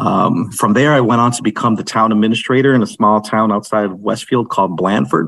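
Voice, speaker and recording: Here is a man with an unremarkable speaking voice. His pitch is fairly low, with ordinary pitch variation. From Holyoke, Massachusetts, US (Puerto Rican family). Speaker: city mayor. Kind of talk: interview.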